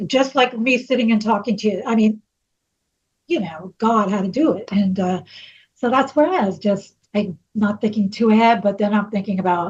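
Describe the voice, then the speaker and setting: A woman with an American accent speaks at a moderate pace in a fairly high, somewhat breathy voice. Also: ordinary pitch variation. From New York. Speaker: singer. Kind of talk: interview.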